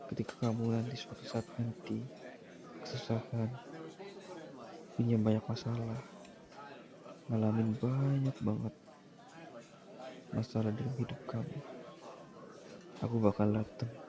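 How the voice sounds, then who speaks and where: The delivery is fairly slow, with fairly even intonation and long, frequent pauses, against noticeable background noise. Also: man, medium pitch for a man. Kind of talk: ASMR boyfriend roleplay. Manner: soft-spoken, comforting.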